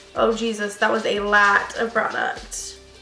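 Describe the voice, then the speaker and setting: A woman uses a raised, projected voice over noticeable background noise, with room echo audible. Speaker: beauty vlogger. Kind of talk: casual makeup vlog.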